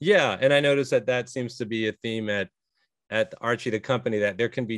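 A man at a fairly quick clip, ordinary pitch variation, dry sound without echo and a quiet background. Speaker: podcast host. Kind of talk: interview. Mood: calm, curious.

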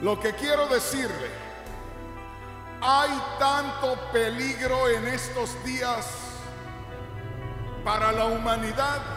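A man speaks in a raised, projected voice with ordinary pitch variation. Clear music plays in the background, and there's audible room echo. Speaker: preacher. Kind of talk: sermon. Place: church. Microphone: handheld.

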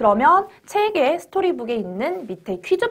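A woman's pitch swings very widely. The background is quiet. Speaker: history teacher for elementary students; history teacher. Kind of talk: lecture. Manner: explanatory, asks rhetorical questions. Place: studio. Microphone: lapel.

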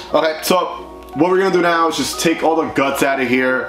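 A man talks at a fairly quick pace with clear music in the background. Room echo is audible. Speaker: motorcycle vlogger. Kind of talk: casual product review vlog. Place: garage.

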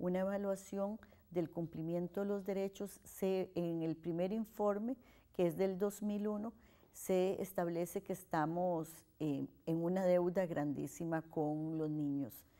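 A woman's fairly low voice with a dark, mellow tone, fairly even intonation and a very slow pace. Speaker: historian and university researcher. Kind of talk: interview.

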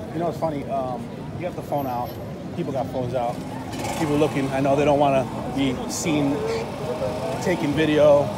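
A man's speech, dry and free of echo, comes at an even, middling tempo beneath heavy background noise. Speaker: travel vlogger. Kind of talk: casual vlog chat. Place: street. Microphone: phone near.

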